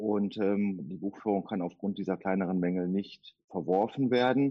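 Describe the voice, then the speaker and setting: A man's fairly low-pitched voice with ordinary pitch variation. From Duisburg, Ruhr area, Germany. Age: 50s. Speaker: tax auditor. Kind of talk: interview. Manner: hesitant fillers.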